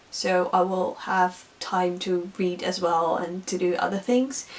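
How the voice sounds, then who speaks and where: Over noticeable background noise, a woman speaks at a very slow pace with a Dutch accent. Her pitch sits in the medium range. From Netherlands. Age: 20s. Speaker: book vlogger. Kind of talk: casual vlog monologue.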